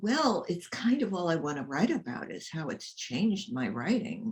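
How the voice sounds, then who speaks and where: Her voice sits at a medium pitch and carries a somewhat breathy edge, marking the speaker as a woman. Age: 70s. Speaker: writer and memoirist. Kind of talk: casual chat. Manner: halting.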